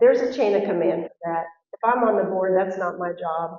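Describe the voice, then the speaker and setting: In a plain, everyday voice, a woman speaks at a moderate pace with fairly even intonation. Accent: American. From Texas. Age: 60s. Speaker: school board candidate. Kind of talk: candidate forum answer.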